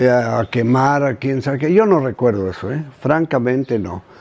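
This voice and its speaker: A man is speaking here. He takes a fairly slow pace. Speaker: elderly local resident. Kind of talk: interview recollection. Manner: halting.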